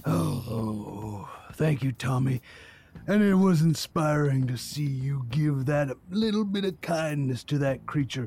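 A man uses a put-on character voice pitched fairly high. He delivers it at a fairly slow pace. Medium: actual play. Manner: goofy, earnest, stammering.

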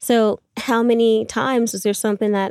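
On a very clean recording with a silent background, a woman speaks at a fairly high pitch in a monotone with flat intonation, the sound dry and close with no echo. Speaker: climbing instructor and routesetter. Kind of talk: casual chat. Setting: in a van. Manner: soft-spoken.

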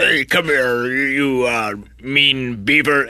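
This is a gruff, put-on character voice. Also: man, medium pitch for a man. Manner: mean, gruff.

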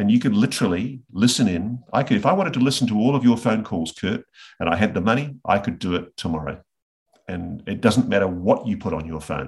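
A man with an Australian accent, fairly low-pitched and somewhat breathy, at a fairly quick pace with lively intonation. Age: 50s. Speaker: investigative journalist. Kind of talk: interview conversation.

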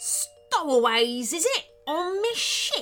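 Over faint music in the background, a woman does a gruff, growling put-on character voice at an extremely high pitch, with a fairly bright tone, big pitch swings and a slow pace.

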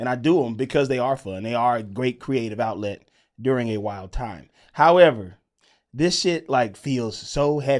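A man uses an ordinary speaking voice at medium pitch and a moderate pace, with ordinary pitch variation. The recording is very clean, with a silent background. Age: 30s. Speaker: comedian and podcast co-host. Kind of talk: casual chat.

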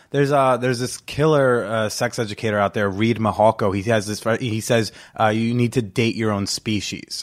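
This man has an ordinary speaking voice at medium pitch, with fairly even intonation and a moderate pace. He hardly pauses, and the recording is very clean with a silent background. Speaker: comedian and podcast host. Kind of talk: casual chat. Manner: laid-back, jokey.

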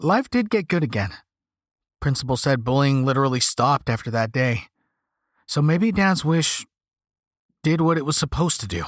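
A man with a fairly high voice and lively intonation talks at a moderate pace with long, frequent pauses, on a very clean recording with a silent background. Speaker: audiobook narrator. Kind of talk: scripted horror story narration.

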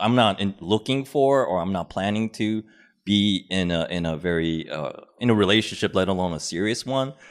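A man with an American accent, an unremarkable speaking voice, fairly low pitch, ordinary pitch variation and a moderate pace. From Korean American upbringing. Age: 30s. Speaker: podcaster, guest. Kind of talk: casual chat.

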